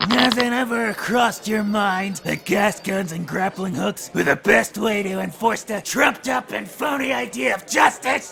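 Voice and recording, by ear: A put-on character voice, raised and projected, moves at a moderate pace with hardly any pauses over clear background noise. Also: man, high pitch for a man.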